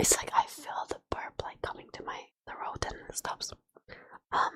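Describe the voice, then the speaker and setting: A whisper at a moderate pace. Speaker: streamer. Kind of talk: casual chat. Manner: whispering. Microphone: too quiet.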